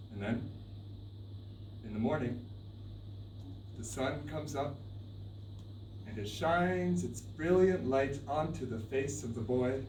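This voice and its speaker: Medium-pitched male speech, lively intonation, long, frequent pauses. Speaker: storyteller. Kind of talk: live storytelling performance. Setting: live stage performance.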